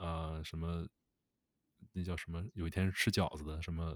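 A very deep, low-pitched man's voice is captured on a very clean recording with a silent background. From Northeast China. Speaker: podcast co-host. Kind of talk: casual chat. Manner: halting, repeats words.

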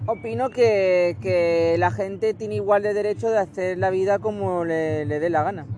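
A man talks at a moderate pace in a high pitch, with very wide pitch swings and hardly any pauses. There is noticeable background noise. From Barcelona, Spain. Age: 20s. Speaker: interviewee with Asperger syndrome. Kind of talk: interview answers. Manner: halting, repetitive.

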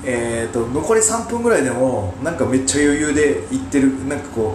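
A man at a medium pitch with very wide pitch swings, a fairly slow pace, audible room echo and noticeable background noise. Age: 40s. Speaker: podcast host and amateur wrestler. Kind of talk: solo commentary podcast. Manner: halting, many filler sounds.

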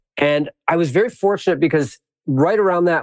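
Over a quiet background, an ordinary speaking voice carries an American accent. Delivery is at a fairly quick pace with ordinary pitch variation. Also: man. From US Midwest, suburbs of Milwaukee, Wisconsin. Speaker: applied ecologist and educator. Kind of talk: interview.

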